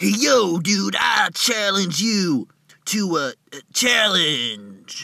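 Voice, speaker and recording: Cartoonish character voice from a man, high-pitched and very slow. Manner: casual, excitable.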